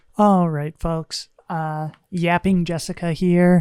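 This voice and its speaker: Soft-spoken and fairly low in pitch, a woman talks at a very slow pace in a monotone, flat intonation, with a dry, close sound, no echo, and a very clean recording over a silent background. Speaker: gaming streamer. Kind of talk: gameplay commentary.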